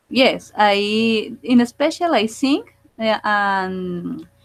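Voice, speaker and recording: Speaking with a Spanish accent, a woman uses a medium pitch and ordinary pitch variation. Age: 40s. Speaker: student. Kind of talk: oral exam. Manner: halting.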